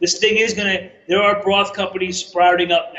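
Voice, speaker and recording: A man with a slight New York accent, at a fairly quick pace. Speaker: chef and broth company owner. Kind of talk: interview.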